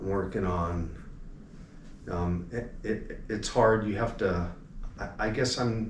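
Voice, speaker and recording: In an American accent, a man speaks at a very slow pace with long, frequent pauses, his fairly low, somewhat breathy voice holding fairly even intonation amid audible room echo. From Los Angeles area, California. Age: 60s. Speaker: alarm company owner. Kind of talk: interview. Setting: convention at a hotel.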